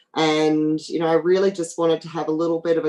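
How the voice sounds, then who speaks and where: A woman with an Australian accent, her voice very deep and low, dark and mellow in tone. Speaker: oil company executive. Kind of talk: panel talk with slides. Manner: hesitant with fillers.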